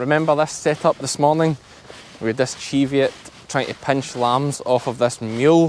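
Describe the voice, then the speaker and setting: With a strong Scottish accent, a man talks at a moderate pace and a fairly high pitch, his intonation fairly even, the sound dry with no echo over light background noise. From Ayrshire, South West Scotland. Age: 30s. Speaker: sheep farmer. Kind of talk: vlog narration. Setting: outdoors. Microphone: phone near.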